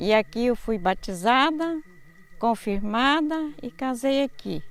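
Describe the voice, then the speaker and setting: A woman's voice with lively intonation. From Minas Gerais, Brazil (Itueta area). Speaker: church member. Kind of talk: testimony.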